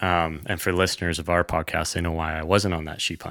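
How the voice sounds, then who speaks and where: A bright, sharp voice with a western Canadian accent moves at a moderate pace with fairly even intonation, in a dry, close sound with no echo and a very clean recording with a silent background. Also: man. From Canada, British Columbia (Kootenay region). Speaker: hunting podcaster. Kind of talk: casual chat.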